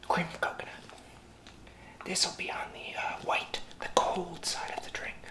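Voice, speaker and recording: Whispered speech at a moderate pace breaks into long, frequent pauses over noticeable background noise. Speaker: bartender ASMR roleplay host. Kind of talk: ASMR cocktail-making demonstration, talking to camera. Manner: soft-spoken, whispering.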